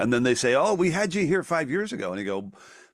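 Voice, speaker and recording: A man talks with lively intonation. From Ireland. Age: 60s. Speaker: folk singer-songwriter. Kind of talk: casual interview. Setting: video call. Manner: halting, many restarts.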